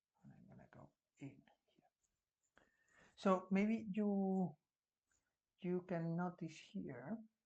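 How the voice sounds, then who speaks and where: A very slow pace with long, frequent pauses, in a Spanish accent. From Spain. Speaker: art teacher. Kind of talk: tutorial. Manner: halting.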